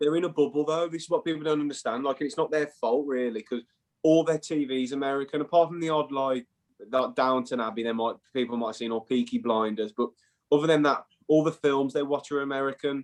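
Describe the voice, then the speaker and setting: At a fairly quick pace, a man with an English accent talks with ordinary pitch variation. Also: fairly high pitch for a man. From England. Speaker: former college soccer player. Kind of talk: casual interview chat. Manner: animated.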